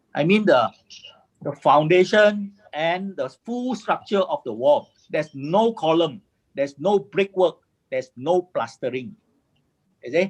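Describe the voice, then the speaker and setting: A man's high voice with a Malaysian accent, fairly slow with long, frequent pauses and very wide pitch swings, in a dry, close sound with no echo. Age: 60s. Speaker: construction engineer and formwork inventor. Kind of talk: webinar presentation. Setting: video call. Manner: halting, repetitive.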